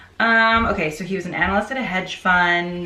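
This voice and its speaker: With an animated tone, a woman of medium pitch talks fairly quickly amid noticeable background noise and audible room echo. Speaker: book reviewer and teacher. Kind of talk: casual book review. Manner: fast.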